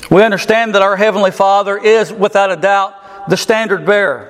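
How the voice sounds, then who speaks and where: Over noticeable background noise, a man with a high pitch speaks at a moderate pace in a monotone, flat intonation. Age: 40s. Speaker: pastor. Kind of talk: sermon.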